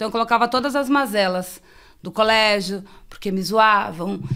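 The voice has a bright, sharp tone, moderate pace and ordinary pitch variation. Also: woman. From São Paulo, Zona Sul. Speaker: poet and real estate agent. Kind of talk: casual chat.

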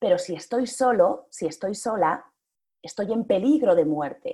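Slow-ish and unhurried, a woman talks at a fairly slow pace in a dark, mellow tone. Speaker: public speaking coach and actress. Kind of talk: interview. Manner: varied, expressive intonation.

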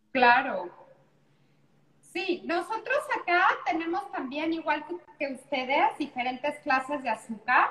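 A woman speaks very slowly in a high voice with very wide pitch swings, over noticeable background noise. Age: 40s. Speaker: pastry chef and TV cook. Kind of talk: casual cooking demonstration chat. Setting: video call from a beach house.

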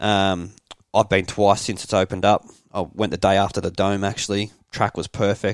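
A man with an Australian accent talks at a moderate pace in a fairly low, monotone and flat voice, with a dry, close sound and no echo. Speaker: podcast co-host, motorbike rider. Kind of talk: casual chat.

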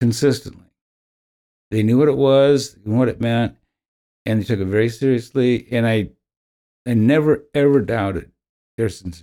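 Pausing long and often, a man with a dark, mellow tone and medium pitch speaks at a moderate pace with ordinary pitch variation. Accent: American. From US Midwest, Indiana. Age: 70s. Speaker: parishioner and prison ministry volunteer. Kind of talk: interview, personal testimony.

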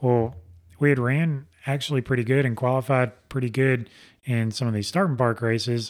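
A man with an American accent speaks at a moderate pace, his medium-pitched voice keeping a fairly even intonation. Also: very clean recording, silent background. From Alabama. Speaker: race car driver. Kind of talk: casual interview. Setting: studio.

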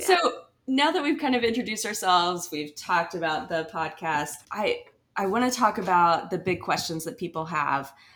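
With an American accent and an unremarkable speaking voice, a woman talks at a moderate pace with lively intonation. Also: medium pitch for a woman. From Asheville, North Carolina. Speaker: podcast co-host, photographer. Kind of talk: casual chat.

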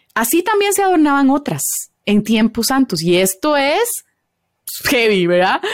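A woman talks at a high pitch with very wide pitch swings, yet her loudness stays very even. Her pace is fairly slow, with long, frequent pauses. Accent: Costa Rican. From Costa Rica. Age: 30s. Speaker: biblical counselor. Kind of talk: podcast interview, advice on faith and marriage.

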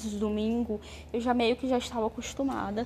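A dark, mellow tone, somewhat breathy. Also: woman. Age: 20s. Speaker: vlogger. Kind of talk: personal testimony monologue.

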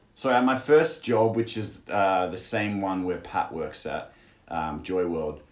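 With an Australian accent, a man talks at a fairly slow pace, his fairly low voice carrying lively intonation. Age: 20s. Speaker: English teacher in China. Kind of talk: casual chat. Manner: halting, many fillers.

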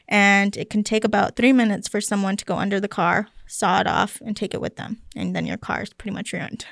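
Talking at a fairly quick pace with hardly any pauses, a woman with medium pitch and vocal fry speaks in monotone, flat intonation in a very clean recording with a silent background. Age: 20s. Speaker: police officer. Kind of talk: interview.

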